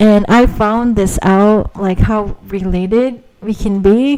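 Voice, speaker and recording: A woman with a Filipino accent speaks at medium pitch using fairly even intonation. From Philippines. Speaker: podcaster. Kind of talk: casual monologue. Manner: hesitant, many fillers.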